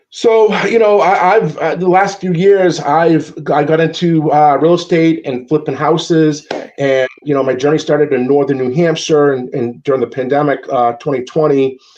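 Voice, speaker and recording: A man with a Massachusetts accent, ordinary pitch variation and hardly any pauses, over noticeable background noise. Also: fairly high pitch for a man, moderate pace. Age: 40s. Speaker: podcast guest, sports fan. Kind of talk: casual chat. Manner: halting, repeats words.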